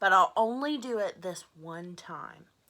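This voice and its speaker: A woman puts on a character voice at medium pitch, talking at a fairly slow pace. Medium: read story. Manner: soft-spoken, gentle.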